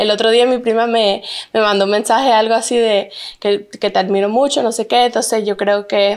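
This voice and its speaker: Against a quiet background, a woman with a fairly high voice speaks at a moderate pace in a flat monotone, her loudness very even. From Santa Cruz, Bolivia; raised in Orlando, Florida from age 7. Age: 20s. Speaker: plus-size model and influencer; influencer. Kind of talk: interview. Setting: at her home. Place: studio. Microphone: handheld.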